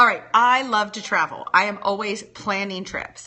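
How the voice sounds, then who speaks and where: A woman talks at a moderate pace in a plain, everyday voice. Her pitch is fairly high. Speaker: blogger and livestreamer. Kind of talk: casual livestream chat.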